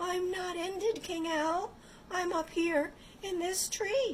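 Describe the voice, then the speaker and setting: A put-on character voice, squeaky and at an extremely high pitch, moves at a fairly slow pace. Clear background noise runs underneath. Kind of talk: bedtime story. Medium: read story.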